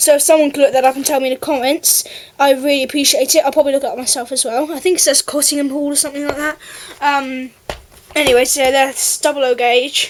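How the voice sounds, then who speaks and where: Over noticeable background noise, the speaker goes at a very fast pace with an English accent and monotone, flat intonation. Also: woman, high pitch for a woman. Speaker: model railway YouTuber. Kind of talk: product review.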